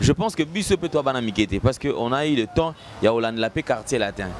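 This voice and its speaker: A man talks at a moderate pace. Light background noise sits behind a dry sound with no echo. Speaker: video channel host. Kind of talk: casual chat. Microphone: handheld.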